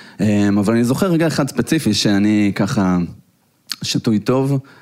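At a moderate pace, a man uses a plain, everyday voice with ordinary pitch variation. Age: 30s. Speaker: tech entrepreneur. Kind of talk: live interview. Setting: stage with audience.

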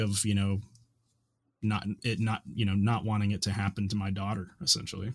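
A man with an American accent talks at a moderate pace in a fairly low pitch, his intonation monotone and flat. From US South, Nashville Tennessee. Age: 30s. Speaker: software developer, parent. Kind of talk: casual conversation. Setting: remote recording.

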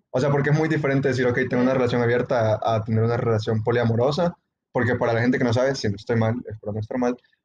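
A man speaks at a very fast pace, his voice somewhat breathy. His intonation is fairly even and his loudness very even. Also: medium pitch for a man. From El Salvador. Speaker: podcast co-host. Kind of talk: casual chat.

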